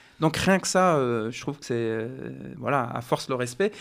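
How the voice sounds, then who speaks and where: This male voice sits at a medium pitch. Its intonation rises and falls in a lively way. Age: 40s. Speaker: research officer and community volunteer. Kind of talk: radio interview.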